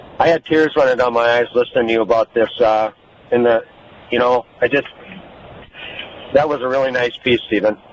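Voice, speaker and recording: A man of medium pitch talks at a fairly quick pace with fairly even intonation and long, frequent pauses. The sound is dry and close with no echo, though there is noticeable background noise. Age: 60s. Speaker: caller, retired coach. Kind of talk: call-in radio tribute. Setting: phone call. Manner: halting.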